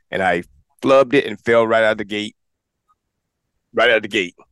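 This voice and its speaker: Over music in the background, a man with a medium pitch speaks in an animated tone. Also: dry, close sound with no echo. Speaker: podcast host. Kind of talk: casual show hosting. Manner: fast.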